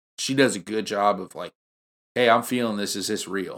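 A man's fairly low, fairly evenly intoned voice with a slight country accent, dry and close with no echo, on a very clean recording with a silent background. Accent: slight country twang. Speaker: podcast guest, friend of the host. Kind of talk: casual chat.

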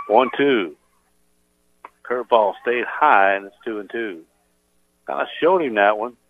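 A man speaks at a medium pitch with lively intonation, long and frequent pauses, and big swings in loudness. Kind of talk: live play-by-play sports commentary. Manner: rapid-fire, calling each pitch and count in clipped phrases; animated, building excitement at key plays.

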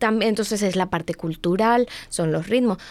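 A woman talks in a normal speaking voice at a medium pitch. Her pace is moderate, with ordinary pitch variation. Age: 20s. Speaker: domestic violence advocate. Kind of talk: casual chat.

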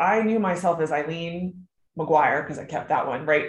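In an American accent, a woman talks with a fairly low pitch and lively intonation. Her voice is somewhat breathy. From Maryland, US. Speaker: author, widow. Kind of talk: casual interview conversation.

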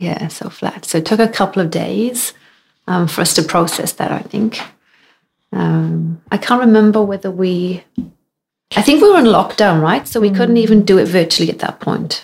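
A woman speaks in a Welsh accent at a medium pitch. Her pace is moderate and her pitch varies in an ordinary way. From Wales. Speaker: amateur runner. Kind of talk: casual chat.

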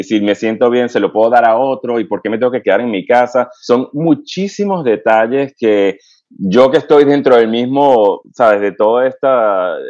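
Speaking at a fairly slow pace, a man uses a medium pitch. His pitch variation is ordinary. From Venezuela. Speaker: pediatric infectious disease physician and researcher. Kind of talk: interview. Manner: halting, with frequent fillers.

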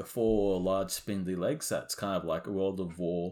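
Here a man has an unremarkable speaking voice, fairly low in pitch, at a moderate pace. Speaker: guest, hobby model maker. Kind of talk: casual banter, hobby chat.

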